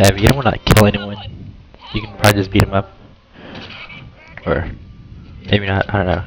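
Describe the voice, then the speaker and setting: A man with a fairly low voice is heard through noticeable background noise. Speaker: gaming youtuber. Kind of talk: gameplay commentary. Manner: hesitant, many fillers; casual.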